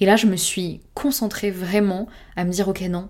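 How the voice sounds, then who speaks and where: Speaking at a moderate pace, a woman holds a medium pitch with fairly even intonation. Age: 20s. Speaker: podcaster. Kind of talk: personal monologue. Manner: smiling voice.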